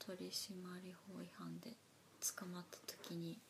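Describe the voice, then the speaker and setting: A somewhat breathy woman at medium pitch, very slow in pace, with ordinary pitch variation. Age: 40s. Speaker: podcast co-host. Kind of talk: casual chat; news reading.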